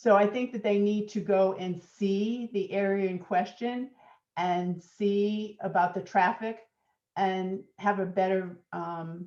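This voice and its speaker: A woman with an American accent speaks at a very slow pace. Her intonation is monotone and flat, over a quiet background. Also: medium pitch for a woman. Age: 70s. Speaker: resident speaking at public hearing. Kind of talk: public comment at meeting. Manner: halting.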